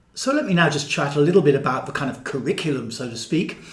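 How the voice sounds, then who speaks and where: Over noticeable background noise and audible room echo, a man with a fairly high pitch speaks at a fairly quick pace. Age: 60s. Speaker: body-based therapy and mysticism teacher. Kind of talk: casual monologue to camera. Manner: repetitive, halting with filler words.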